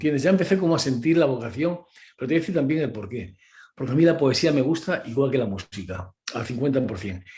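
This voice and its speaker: Speaking very fast, a man with a medium pitch uses lively intonation, his dark, mellow tone somewhat breathy. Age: 70s. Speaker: concert pianist and accompanist. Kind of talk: interview. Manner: animated.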